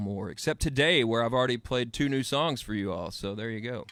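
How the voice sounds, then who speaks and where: A man's pitch varies in an ordinary way in a very clean recording with a silent background. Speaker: singer-songwriter. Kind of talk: casual interview. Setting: radio studio.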